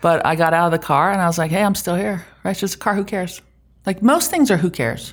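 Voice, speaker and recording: In a very clean recording with a silent background, a woman with an American accent talks at a very fast pace, her fairly low voice showing ordinary pitch variation. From Germany (US military family). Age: 50s. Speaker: tech executive. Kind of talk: interview.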